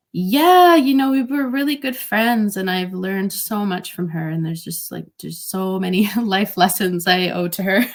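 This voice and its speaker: A woman talks with hardly any pauses. Her voice is somewhat breathy. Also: medium pitch for a woman, lively intonation, moderate pace. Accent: Canadian. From Canada, Greater Toronto Area. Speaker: DJ. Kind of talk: interview. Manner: casual, with fillers.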